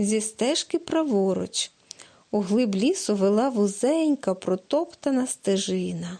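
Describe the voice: The intonation rises and falls in a lively way. It is plain reading aloud.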